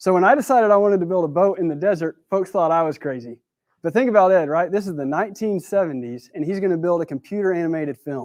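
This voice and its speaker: With a Texan accent, a man speaks at a very fast pace in a high pitch, his intonation lively against a quiet background. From West Texas. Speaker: speaker at a talk event. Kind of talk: prepared talk. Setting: stage with audience. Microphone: new mic.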